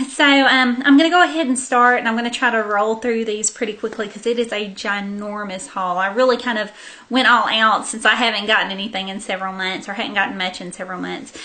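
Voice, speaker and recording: A woman speaks very fast in an American accent, her pitch fairly high with ordinary variation. Noticeable background noise runs under her voice. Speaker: beauty vlogger. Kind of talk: casual haul video monologue. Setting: sitting on the floor at home.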